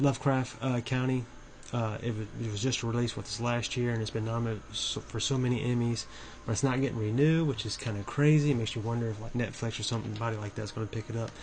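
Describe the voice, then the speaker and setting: The speaker talks at a very fast pace, sounding somewhat breathy, with fairly even intonation. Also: man, medium pitch for a man. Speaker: horror movie YouTuber. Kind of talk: casual video commentary. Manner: halting, with many fillers and restarts.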